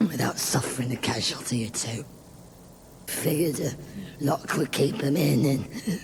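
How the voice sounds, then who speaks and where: Over light background noise, a man puts on a raspy character voice with fairly high pitch and lively intonation, keeping a moderate pace with long, frequent pauses. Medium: machinima. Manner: chuckling, folksy.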